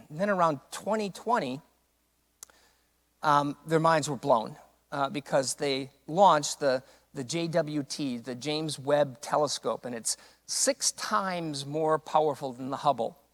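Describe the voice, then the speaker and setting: Recorded very cleanly with a silent background and a dry, close sound without echo, a man speaks fairly slowly at a fairly high pitch with ordinary pitch variation. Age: 60s. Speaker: pastor. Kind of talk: welcoming remarks. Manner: halting, many fillers.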